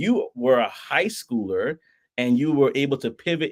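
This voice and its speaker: This man speaks in an animated tone with a New York accent. His pitch varies in an ordinary way. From Brooklyn, New York. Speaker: podcast host. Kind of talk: casual interview. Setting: livestream.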